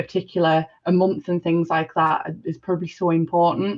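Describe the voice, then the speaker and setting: A woman speaks with a Sunderland accent. Her pitch sits fairly low. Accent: northern English (Mackem). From northern England, Sunderland area. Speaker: discussion participant. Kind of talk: panel discussion. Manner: halting, many fillers and restarts.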